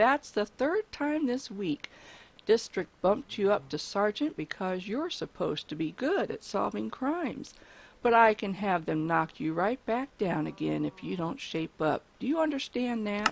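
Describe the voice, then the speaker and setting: In a put-on character voice with growling, a female-sounding speaker talks at a moderate pace and a medium pitch. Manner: growling, angry, scolding.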